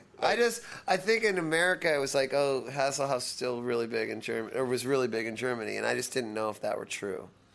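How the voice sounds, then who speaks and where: Noticeable background noise accompanies the speech. A man is talking very fast. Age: 40s. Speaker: rock band singer and multi-instrumentalist. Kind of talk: casual interview.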